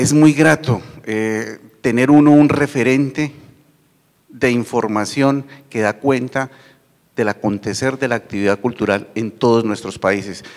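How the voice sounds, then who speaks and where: A man's medium-pitched voice at a fairly slow pace, with long, frequent pauses, ordinary pitch variation, and a quiet background. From Colombia. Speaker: university TV channel manager; panelist. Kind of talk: conference panel talk. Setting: university auditorium with audience. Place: hall. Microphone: handheld.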